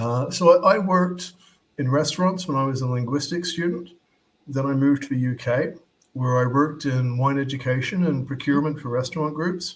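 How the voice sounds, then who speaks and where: This man talks at a fairly quick pace with an American accent, his voice fairly high-pitched and somewhat breathy, with ordinary pitch variation. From Australia (Melbourne). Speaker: wine expert. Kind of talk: interview.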